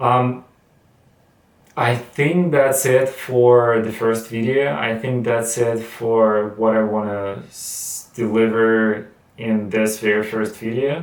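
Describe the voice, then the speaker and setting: The pace of this man's speech is very slow. Echo from the room is audible. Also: medium pitch for a man, fairly even intonation. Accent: non-native. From Russia. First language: Russian. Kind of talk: casual talk to camera. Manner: halting, with many fillers and repetitions.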